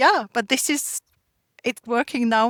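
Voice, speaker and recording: A woman with a German accent speaks at a fairly slow pace and fairly high pitch, the sound dry and close with no echo on a very clean recording with a silent background. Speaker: artisanal food producer. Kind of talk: interview.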